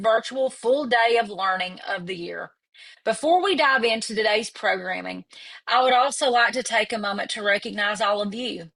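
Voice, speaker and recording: With an East Tennessee accent, a woman speaks at a moderate pace in a fairly high voice with a bright, sharp tone. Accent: Southern East Tennessee. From US South, East Tennessee. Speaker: executive director of a professional association. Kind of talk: virtual event opening remarks. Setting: virtual webinar.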